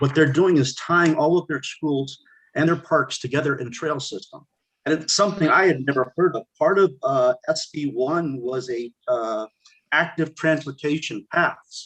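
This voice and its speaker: This is an unremarkable speaking voice, moving at a moderate pace with ordinary pitch variation. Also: man. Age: 60s. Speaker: committee member. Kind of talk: public meeting discussion. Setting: video call.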